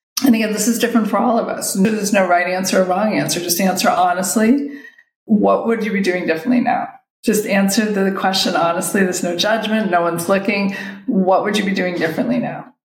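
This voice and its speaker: Audible room echo surrounds a woman speaking at a very fast pace with a medium pitch and ordinary pitch variation. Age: 50s. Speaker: photography business coach. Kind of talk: solo podcast monologue. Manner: casual, with filler words.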